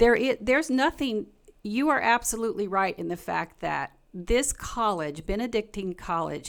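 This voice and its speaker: With a Southern US accent and lively intonation, the voice comes through on a very clean recording with a silent background. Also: woman. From Kentucky, US South. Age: 60s. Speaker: pastor. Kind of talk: live stream discussion. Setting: live stream with video guests.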